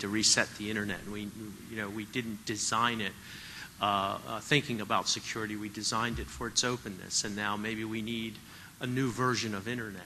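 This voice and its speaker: This man talks at a fairly quick pace, his medium-pitched voice keeping a fairly even intonation. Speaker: audience member asking question. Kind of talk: audience question. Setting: symposium audience. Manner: loud.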